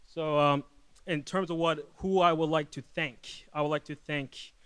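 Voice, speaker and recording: A man speaks at a moderate pace in a fairly high pitch with monotone, flat intonation. The background is quiet. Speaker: filmmaker. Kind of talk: award acceptance speech. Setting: stage with audience. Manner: halting, stuttering; high energy.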